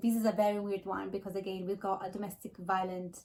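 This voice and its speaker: Monotone, flat intonation in a non-native accent. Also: woman. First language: not English. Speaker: book vlogger. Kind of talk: casual monologue. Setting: home, filming in natural light. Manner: hesitant, with fillers.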